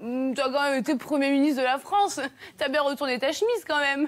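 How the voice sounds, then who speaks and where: A woman speaks in a high pitch. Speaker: TV comedy columnist. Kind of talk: comic TV segment. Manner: animated; fake Spanish accent at the start.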